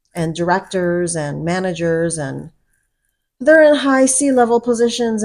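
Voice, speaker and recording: With a normal speaking voice, a woman talks at a medium pitch and a fairly slow pace with lively intonation, in a very clean recording with a silent background. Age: 50s. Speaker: vlogger. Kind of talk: personal vlog monologue. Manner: casual conversational.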